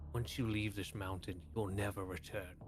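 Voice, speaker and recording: Over loud background noise, someone talks in a put-on character voice at a moderate pace. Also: man, fairly low pitch for a man. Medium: actual play. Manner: solemn, resolute.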